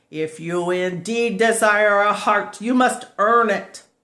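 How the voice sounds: The voice is a put-on character, gruff and fairly high in pitch. It moves at a fairly slow pace.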